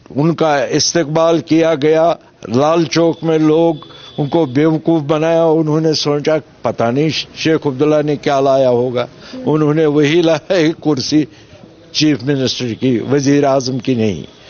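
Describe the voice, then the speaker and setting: Beneath noticeable background noise, a man with a fairly high pitch speaks with fairly even intonation and very even loudness. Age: 70s. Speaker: political candidate, former militant. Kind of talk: interview.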